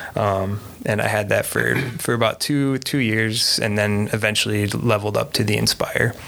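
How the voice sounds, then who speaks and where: With an American accent, a man talks at a moderate pace in a fairly low voice with fairly even intonation and very even loudness. Noticeable background noise runs underneath. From Minnesota, US. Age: 30s. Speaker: FPV drone pilot. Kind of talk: casual chat.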